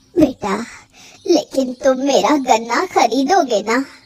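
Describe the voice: A woman puts on a cartoonish character voice, high in pitch with lively intonation, and speaks at a very slow pace.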